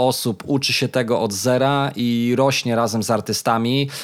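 A man of medium pitch talks at a moderate pace in an ordinary speaking voice, captured in a very clean recording with a silent background. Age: 30s. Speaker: podcast host. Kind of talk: casual chat.

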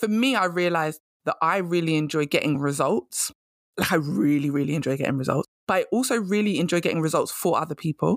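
Recorded very cleanly over a silent background, the speaker talks at a very fast pace with a British accent. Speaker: career coach podcaster. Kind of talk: casual solo podcast monologue. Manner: animated, conversational.

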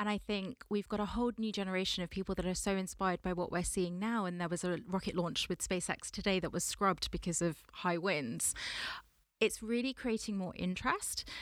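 Over a very clean recording with a silent background, a woman with a London accent talks at a fairly quick pace, medium pitch and ordinary pitch variation. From Southwest London. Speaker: space sector entrepreneur. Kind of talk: interview. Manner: animated.

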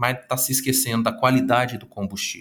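With a medium pitch, a man talks at a moderate pace. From Minas Gerais, Brazil (Uberlândia, Triângulo Mineiro). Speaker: psychologist and speaker. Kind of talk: interview.

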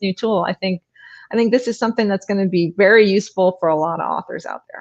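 This woman talks at a fairly quick pace in an unremarkable speaking voice. Her pitch is medium, with ordinary variation. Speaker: author and co-host. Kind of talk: casual interview chat. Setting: online livestream.

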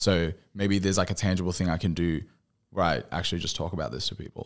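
In an Australian accent, the speech has fairly even intonation over a very clean recording with a silent background. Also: man. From regional Queensland, Australia. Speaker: musician. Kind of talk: casual chat.

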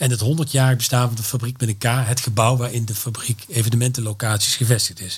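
A man at medium pitch, very fast, with fairly even intonation. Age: 50s. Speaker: creative events entrepreneur. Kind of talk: interview. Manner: hesitant, many filler sounds.

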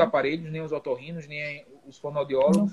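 He speaks in an ordinary speaking voice, at a fairly high pitch for a man. The pace is moderate, and the pitch variation is ordinary. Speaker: geriatrician. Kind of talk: live panel discussion. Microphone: connection cutting out.

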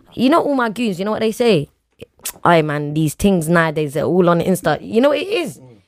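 Speaking at a fairly quick pace with a London accent, a woman uses a fairly low voice, an animated tone and very wide pitch swings. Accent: London multicultural English. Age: 20s. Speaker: podcast co-host. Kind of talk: casual chat.

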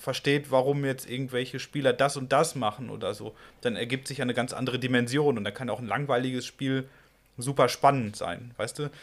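Fairly even intonation marks this man's delivery, pitched in a medium range. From Westphalia, Germany (Ruhr area). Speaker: podcast host, outdoor blogger. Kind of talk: casual interview. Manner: halting, many fillers.

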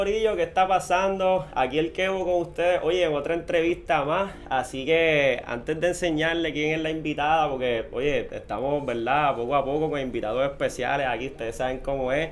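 Against noticeable background noise, a man with a Puerto Rican accent speaks at a moderate pace with hardly any pauses, a fairly high pitch and ordinary pitch variation. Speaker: podcast host. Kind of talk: casual interview; sponsor announcements. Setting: studio.

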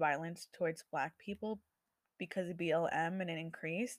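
A woman's fairly low voice has fairly even intonation. The sound is dry and close, with no echo. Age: 20s. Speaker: solo podcaster. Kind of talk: casual monologue. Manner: halting, many fillers and restarts.

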